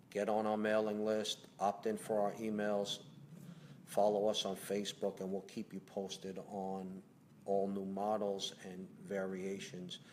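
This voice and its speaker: A man with a Brooklyn accent, fairly low in pitch, monotone and flat in intonation, at a fairly slow pace. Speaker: company president. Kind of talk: live Q&A. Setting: home livestream. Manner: conversational, hesitant fillers.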